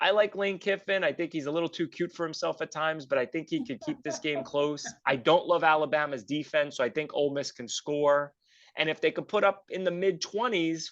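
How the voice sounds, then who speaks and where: A man speaks at a fairly quick pace in an unremarkable speaking voice, fairly high in pitch with ordinary pitch variation. The background is quiet. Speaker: sports podcast co-host. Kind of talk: casual sports talk, betting picks.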